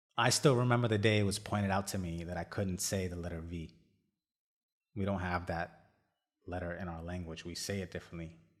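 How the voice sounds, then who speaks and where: On a very clean recording with a silent background, a man with a very deep, low pitch speaks at a fairly quick pace with fairly even intonation and long, frequent pauses. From India, moved to US at about 12. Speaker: podcast host. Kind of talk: personal monologue.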